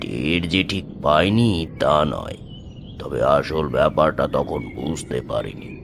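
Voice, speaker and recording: A man puts on a character voice and speaks at a fairly slow pace with clear background noise. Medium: audio drama. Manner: uneasy, fearful.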